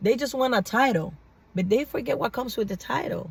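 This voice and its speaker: Her voice is somewhat breathy, and this woman's intonation is lively. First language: not English. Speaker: vlogger. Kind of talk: casual monologue vlog. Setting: in a car. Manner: animated.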